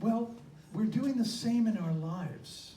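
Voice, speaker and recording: A man talks with lively intonation. Room echo is audible, along with noticeable background noise. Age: 70s. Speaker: minister. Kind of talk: sermon.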